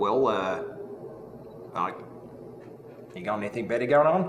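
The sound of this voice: Audible room echo surrounds a man's fairly low voice. He speaks at a fairly slow pace with lively intonation.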